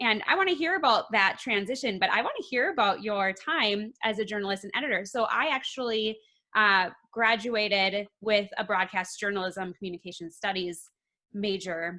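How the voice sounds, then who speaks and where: This woman speaks with an American accent at a moderate pace. Her medium-pitched voice has a bright, sharp tone and ordinary pitch variation. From Minnesota. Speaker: podcast host. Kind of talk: interview.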